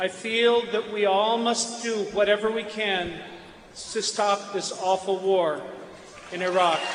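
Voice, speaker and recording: The speech moves at a fairly slow pace with fairly even intonation. Room echo and noticeable background noise are audible. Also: man, high pitch for a man. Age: 60s. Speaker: teacher and political candidate. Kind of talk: political speech. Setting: stage with audience.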